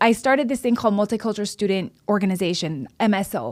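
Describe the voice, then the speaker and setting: At a fairly quick pace and with lively intonation, this Hawaiian-accented voice comes through on a very clean recording with a silent background. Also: woman. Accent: Hawaiian American English. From Hawaii (Oahu). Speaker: city council member. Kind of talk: casual chat. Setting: studio. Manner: animated.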